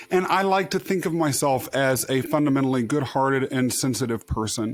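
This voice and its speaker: The man's delivery moves along at a fairly quick pace. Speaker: podcast host. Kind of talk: podcast interview. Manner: projects, expressive.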